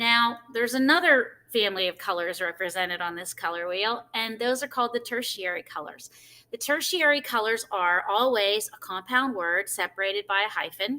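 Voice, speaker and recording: A woman's bright, sharp tone carries lively intonation. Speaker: art teacher. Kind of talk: tutorial.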